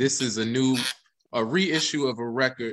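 Ordinary pitch variation comes through against a quiet background. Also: man. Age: 30s. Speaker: artist; panelist. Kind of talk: casual chat. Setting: video call. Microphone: video call.

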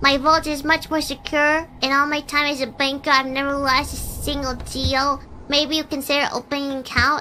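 A woman's high-pitched put-on character voice, monotone and flat, with hardly any pauses and clear background noise. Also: moderate pace. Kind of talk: streamer reading game dialogue aloud. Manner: friendly, persuasive sales pitch.

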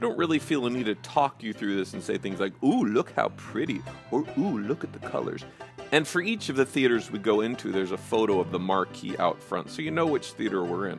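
With music in the background, a man speaks at a fairly quick pace with very wide pitch swings. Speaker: channel host narrator. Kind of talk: casual narrated photo commentary.

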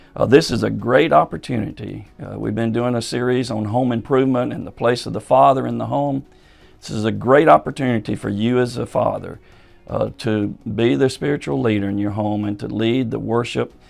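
A man at a fairly quick pace with big swings in loudness, faint music in the background. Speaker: church pastor. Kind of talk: pastoral announcement to congregation. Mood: calm, reassuring. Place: office.

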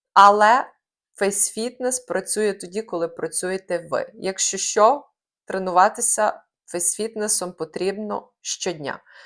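The pace is very slow as a woman speaks. Her medium pitch shows ordinary variation. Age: 30s. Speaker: face fitness trainer. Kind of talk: scripted narration.

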